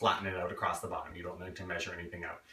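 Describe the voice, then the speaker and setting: A man's voice is heard with audible room echo. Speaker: home cook. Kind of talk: cooking tutorial. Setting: home kitchen. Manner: fast; casual, lots of fillers. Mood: relaxed, joking. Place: kitchen. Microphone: camera far.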